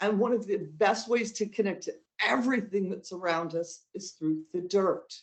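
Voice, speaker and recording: In an ordinary speaking voice, a woman talks at a medium pitch with ordinary pitch variation and an American accent. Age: 60s. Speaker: witch and spiritual counselor. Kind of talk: interview.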